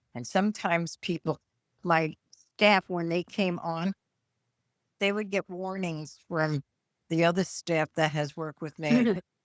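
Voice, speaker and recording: A woman with a New York accent and a fairly low pitch talks fairly slowly, with long, frequent pauses and ordinary pitch variation, in a very clean, dry, close recording with a silent background and no echo. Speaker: retired nurse and podcast co-host. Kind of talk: casual chat. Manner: loud; can sound harsh.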